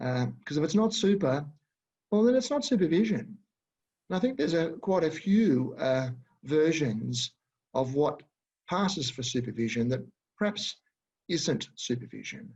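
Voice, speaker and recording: A man's fairly high voice with an Australian accent, very wide pitch swings, a moderate pace and long, frequent pauses. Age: 60s. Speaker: educator and supervisor. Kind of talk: webinar presentation. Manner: halting, many fillers.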